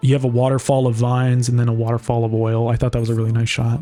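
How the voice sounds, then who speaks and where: Over music in the background, a man with a medium pitch talks at a very fast pace. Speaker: film director and narrator of his own short. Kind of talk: director's commentary, casual. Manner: casual, many fillers and restarts.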